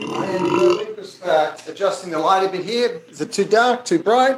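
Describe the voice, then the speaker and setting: A man with an Australian accent at a moderate pace, with ordinary pitch variation and big swings in loudness. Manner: relaxed, friendly.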